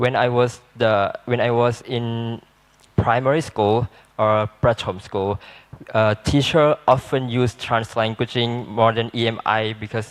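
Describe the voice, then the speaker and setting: Speaking with a Malaysian accent, a man keeps a medium pitch and a fairly slow pace in a monotone, flat delivery. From southern Thailand, Patani Malay speaking. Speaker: student panelist. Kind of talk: panel discussion. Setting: seminar. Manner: halting.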